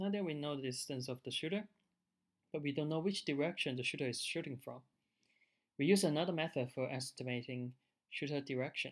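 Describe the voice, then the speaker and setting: A fairly high-pitched man with a non-native accent, fairly quick pace, long, frequent pauses and ordinary pitch variation. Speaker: researcher. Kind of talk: technical demo narration over slides.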